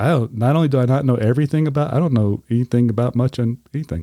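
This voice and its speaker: A man with a Southern US accent talks at a very fast pace in a medium pitch, his dark, mellow tone kept at a very even loudness with ordinary pitch variation and a dry, close sound with no echo. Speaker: podcast host, whiskey reviewer. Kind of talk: casual chat.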